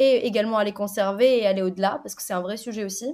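A woman with a plain, everyday voice speaks at a medium pitch with fairly even intonation in a very clean recording with a silent background. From Tunisia. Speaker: software quality assurance lead. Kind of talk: interview.

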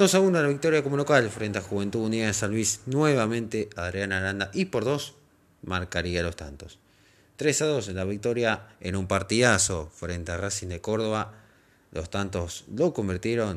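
A man with a Rioplatense accent speaks fairly slowly in a fairly low voice with ordinary pitch variation, on a very clean recording with a silent background. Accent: Argentine Rioplatense Spanish. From Argentina, Pergamino, Buenos Aires province. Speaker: football podcast host. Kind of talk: scripted narration.

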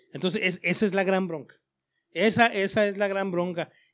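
The recording is very clean with a silent background, and the pitch varies by ordinary amounts. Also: man. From Chihuahua, Mexico (Parral). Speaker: politician. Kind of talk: interview.

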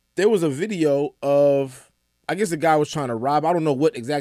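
Talking at a fairly quick pace with an American accent, a man has a normal speaking voice and ordinary pitch variation in a very clean recording with a silent background. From Atlanta, US South. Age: 30s. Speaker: entertainment news editor. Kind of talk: casual chat. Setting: studio.

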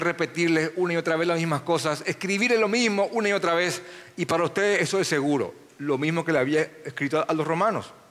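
This man talks very fast at a high pitch, his intonation fairly even. Noticeable background noise runs under the recording. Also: very even loudness. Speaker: pastor. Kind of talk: sermon.

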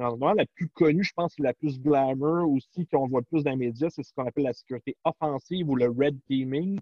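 A man talks at a fairly quick pace with hardly any pauses, in a normal speaking voice. His pitch is fairly high, with ordinary variation. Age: 40s. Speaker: cybersecurity specialist. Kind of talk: interview.

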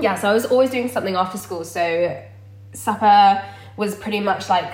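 A woman talks at a very fast pace and a medium pitch. Noticeable background noise and audible room echo are present. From Dorset, southern England. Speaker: vegan content creator. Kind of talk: casual chat.

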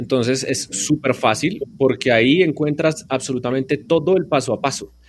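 This man's voice sits at a medium pitch and shows ordinary pitch variation. It is an ordinary speaking voice. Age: 30s. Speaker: radio journalist and podcast teacher. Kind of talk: interview.

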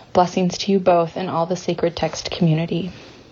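A woman speaks at a fairly quick pace with an American accent and a medium pitch. There is noticeable background noise. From US South. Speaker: listener voicemail caller. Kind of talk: voicemail message. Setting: phone voicemail.

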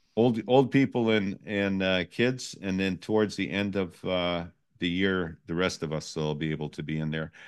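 Over a quiet background, a man with a very deep, low pitch talks at a moderate pace with ordinary pitch variation. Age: 60s. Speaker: live stream host. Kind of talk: casual chat. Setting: live stream.

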